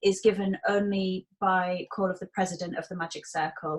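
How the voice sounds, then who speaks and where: A woman speaks in a Hull accent, somewhat breathy. Her intonation is fairly even. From northern England, Hull. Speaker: magician. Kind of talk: interview.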